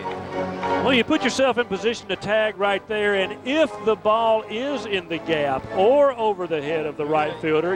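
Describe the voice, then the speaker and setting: Music plays in the background. The speaker moves at a moderate pace with very wide pitch swings. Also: man. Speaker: color commentator. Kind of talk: baseball color commentary.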